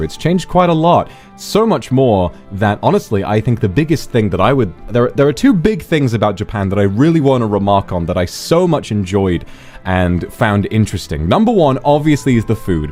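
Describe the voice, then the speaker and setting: Over music in the background, a man speaks at a moderate pace with very wide pitch swings. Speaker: virtual streamer. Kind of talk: casual talk to camera.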